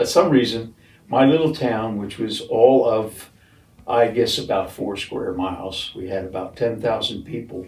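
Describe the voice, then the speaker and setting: Through audible room echo, a man speaks somewhat breathily at a fairly slow pace with ordinary pitch variation. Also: medium pitch for a man, big swings in loudness. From South Jersey, near Philadelphia. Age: 70s. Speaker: retirement community resident. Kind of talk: casual interview. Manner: halting, many fillers.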